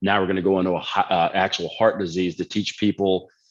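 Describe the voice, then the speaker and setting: With a Texan accent, the speaker goes at a very fast pace with fairly even intonation against a quiet background. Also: man. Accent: Texan American. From Texas. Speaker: nutrition and fitness coach. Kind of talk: casual chat. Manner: casual, profane.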